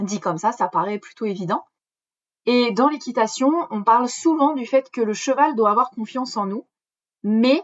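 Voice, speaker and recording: A woman with a high pitch speaks with ordinary pitch variation. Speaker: riding coach, podcast host. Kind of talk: solo podcast monologue. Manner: hesitant with fillers.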